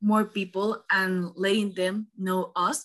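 A woman speaks with a Spanish accent in a bright, sharp tone. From Panama. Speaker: student podcast host. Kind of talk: interview. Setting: call.

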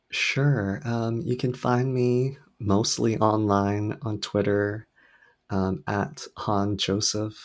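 Soft-spoken, this man talks at a very slow pace with fairly low pitch and ordinary variation. The recording is very clean, the background silent. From Hawaii (Oahu), born in South Korea. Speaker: novelist. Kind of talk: interview.

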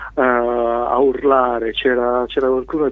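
This man talks at a medium pitch in a flat, monotone delivery. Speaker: record label founder and singer-songwriter. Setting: phone call.

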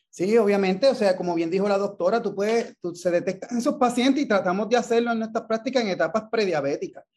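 A man's high voice in a Puerto Rican accent, very fast with hardly any pauses and ordinary pitch variation. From Puerto Rico, Ponce. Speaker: endocrinologist. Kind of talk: interview. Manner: halting.

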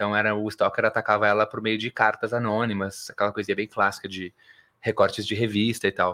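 Bright and sharp in tone, a man speaks with monotone, flat intonation. The recording is very clean, dry and close, with no echo and a silent background. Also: fairly low pitch for a man, fairly quick pace. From Porto Alegre, southern Brazil. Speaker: musical theatre actor. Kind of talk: interview.

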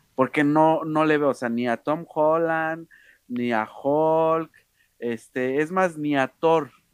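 Words arrive at a very slow pace. Behind them, the background is silent on a very clean recording. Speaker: podcast co-host. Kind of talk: casual chat.

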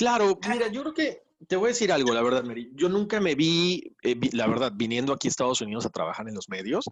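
A man talks at a very fast pace with hardly any pauses. His high voice swings very widely in pitch. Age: 40s. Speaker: radio host and podcast producer. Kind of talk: interview conversation. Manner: halting with repetitions.

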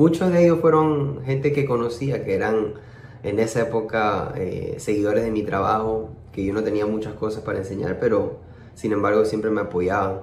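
A man's fairly low, somewhat breathy voice at a moderate pace, with ordinary pitch variation and audible room echo. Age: 30s. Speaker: music producer and percussionist. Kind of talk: interview. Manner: halting, many repetitions.

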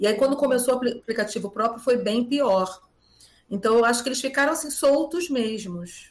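Speaking at a moderate pace, a woman with a high voice shows ordinary pitch variation. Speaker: schoolteacher. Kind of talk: interview.

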